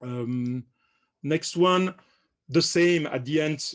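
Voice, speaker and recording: With ordinary pitch variation, a man speaks against a quiet background. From France. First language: French. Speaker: company director presenting products. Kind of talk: webinar product presentation. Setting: online webinar, on camera. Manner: hesitant, many fillers and repetitions.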